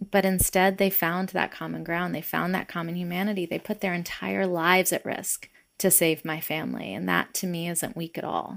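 A woman with an American accent talks at a fairly low pitch and a moderate pace, with hardly any pauses. Her intonation is monotone and flat, on a very clean recording with a silent background. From US South, Atlanta. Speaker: nonprofit CEO and activist. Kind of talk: interview conversation.

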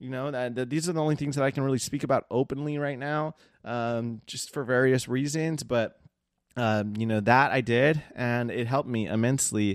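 In a very clean recording with a silent background, a man with a medium pitch and ordinary pitch variation talks at a fairly quick pace in an ordinary speaking voice. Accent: American. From Southern California (Seal Beach / Long Beach). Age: 30s. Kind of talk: personal testimony monologue. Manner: casual with many fillers.

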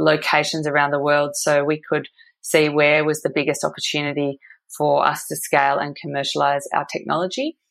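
With an Australian accent, a woman talks in a very deep, low pitch. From Australia, Perth. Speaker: energy tech company co-founder. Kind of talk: interview.

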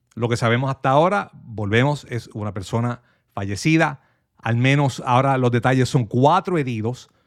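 This man talks at a fairly quick pace in a normal speaking voice. His pitch is medium, with ordinary variation. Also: very clean recording, silent background. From Puerto Rico, Manatí. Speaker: stand-in radio host and media analyst. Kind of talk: talk radio with news commentary and calls.

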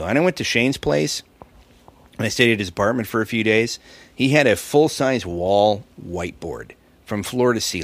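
A man speaks at a moderate pace with a fairly low pitch and ordinary pitch variation. The recording is very clean, with a silent background. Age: 50s. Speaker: stand-up comedian. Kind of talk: casual chat. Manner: long-winded talker.

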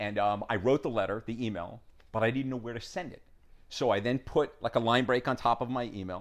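Talking at a fairly quick pace, a man with an American accent uses an ordinary speaking voice at medium pitch with ordinary pitch variation. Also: big swings in loudness. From New York. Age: 50s. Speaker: documentary filmmaker. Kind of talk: casual interview conversation. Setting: in person at host's home.

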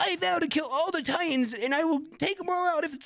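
A put-on character voice speaks at a high pitch and a fairly quick pace. Light background noise can be heard. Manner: fiery, vowing.

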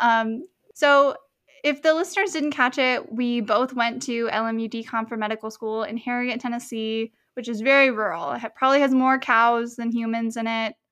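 Her fairly high-pitched voice is an unremarkable speaking voice, and this woman talks at a moderate pace. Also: ordinary pitch variation. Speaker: medical student podcast host. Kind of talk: casual interview chat.

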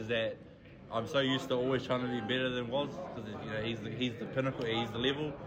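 A man with a New Zealand accent talks at a very fast pace with fairly even intonation. Noticeable background noise and audible room echo fill the recording. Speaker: darts player. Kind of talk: casual interview. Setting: club venue.

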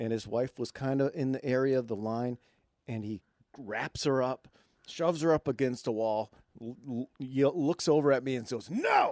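A man with an American accent has an unremarkable speaking voice, with medium pitch, ordinary pitch variation and a moderate pace. The sound is dry and close with no echo, over a quiet background. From Michigan. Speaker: comedian. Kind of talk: casual chat.

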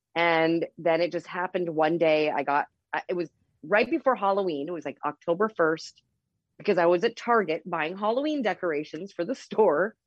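An ordinary speaking voice from a woman, fairly low-pitched, with ordinary pitch variation and a moderate pace. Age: 40s. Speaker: cannabis dispensary owner. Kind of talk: casual interview.

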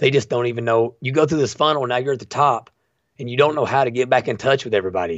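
In an Appalachian accent, a man of medium pitch talks at a very fast pace with ordinary pitch variation. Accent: Appalachian Kentucky. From eastern Kentucky, Bell County. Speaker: citizen activist. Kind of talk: casual interview chat.

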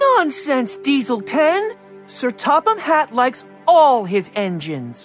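A female-sounding put-on character voice speaks slowly-ish at a fairly high pitch, with faint music in the background, at a fairly slow pace. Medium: read story. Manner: earnest, eager.

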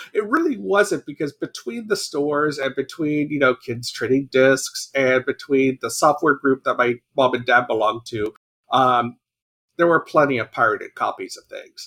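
Delivered at a moderate pace, the speech has big swings in loudness and a dry, close sound with no echo. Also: man. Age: 40s. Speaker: video game journalist. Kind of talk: casual chat.

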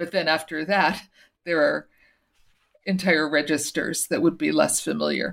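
With vocal fry and fairly even intonation, the speaker keeps a moderate pace broken by long, frequent pauses. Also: woman, very deep, low pitch for a woman. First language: Portuguese. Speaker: author and former teacher. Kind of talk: interview.

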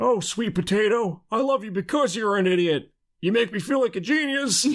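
A high-pitched, put-on character voice from a man, delivered at a moderate pace. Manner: affectionate, sweet.

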